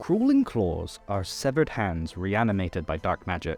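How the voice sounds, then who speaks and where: Over music in the background, a man with a fairly low voice talks at a moderate pace with lively intonation. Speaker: voice actor. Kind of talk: narrated tutorial.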